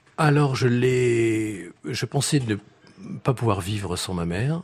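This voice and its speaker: A man speaks at a fairly slow pace. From France, Reims. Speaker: violist and string quartet teacher. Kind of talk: radio interview. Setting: live radio before audience in hotel. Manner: halting, many hesitations.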